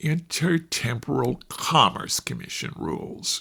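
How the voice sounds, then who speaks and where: Slow-going, a man puts on a fairly high-pitched character voice, speaking at a fairly slow pace. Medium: read story. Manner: condescending, prissy.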